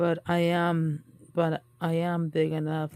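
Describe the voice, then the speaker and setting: A woman speaks with a dark, mellow tone at a fairly low pitch. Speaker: children's story reader. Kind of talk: read-aloud picture book story with commentary. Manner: casual, chatty.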